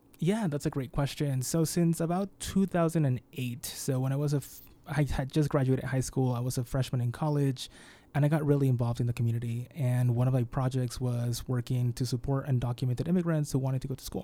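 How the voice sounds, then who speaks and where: With an American accent, a man talks fairly quickly in a dark, mellow tone, medium in pitch with ordinary pitch variation. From Peru, then Utah from age eleven. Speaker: immigrant rights advocate. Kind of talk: panel discussion on radio.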